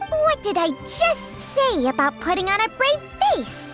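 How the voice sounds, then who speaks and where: Over clear background music, a cartoonish character voice speaks at a fairly slow pace. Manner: sardonic, knowing.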